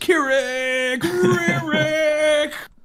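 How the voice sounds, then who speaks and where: A high-pitched, put-on character voice. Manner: exaggerated, dramatic.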